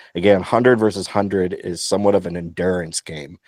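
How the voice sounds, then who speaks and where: A man with an American accent talks at a fairly low pitch. The recording is very clean and dry, with a close sound, no echo and a silent background. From United States. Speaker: podcast co-host. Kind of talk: casual chat.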